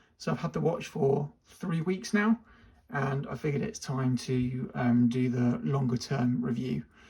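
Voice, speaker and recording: A man's somewhat breathy, fairly high-pitched voice. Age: 40s. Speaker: watch reviewer. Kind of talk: product review. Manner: fast.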